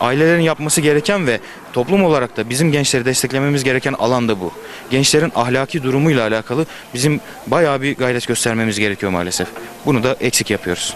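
Dry, with no echo and light background noise, a man talks at a very fast pace. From eastern Turkey. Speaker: youth foundation representative. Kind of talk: street interview. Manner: articulate. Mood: serious, earnest. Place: street. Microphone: handheld.

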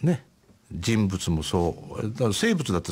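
A man's voice moves through very wide pitch swings. His pitch rises and falls sharply. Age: 70s. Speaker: painter. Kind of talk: radio interview. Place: studio.

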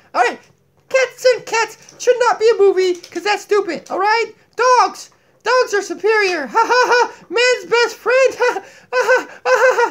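Using a cartoonish character voice, a man talks at a fairly slow pace with an extremely high pitch. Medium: puppet. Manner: goofy, zany.

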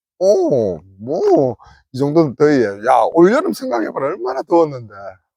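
A man with a Gyeongsang accent speaks with lively intonation at a fairly high pitch. His tone is dark and mellow, and his pace is moderate. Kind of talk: casual banter between friends.

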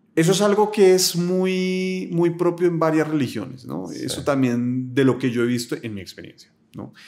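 Talking at a moderate pace with hardly any pauses, a man uses a fairly high pitch, lively intonation and big swings in loudness. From Colombia, Bogotá. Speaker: philosopher; podcast guest. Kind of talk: casual interview conversation. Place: home room. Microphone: studio mic.

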